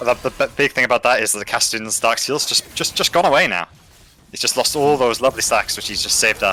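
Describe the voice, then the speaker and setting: Music plays behind a man speaking at a very fast pace. His pitch is medium with ordinary variation. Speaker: esports caster. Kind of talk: live commentary. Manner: stuttering.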